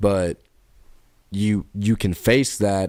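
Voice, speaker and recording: A man speaks with a very deep, low pitch and a dark, mellow tone. The recording is very clean, the background silent. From Kentucky. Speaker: podcast co-host. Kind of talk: casual chat.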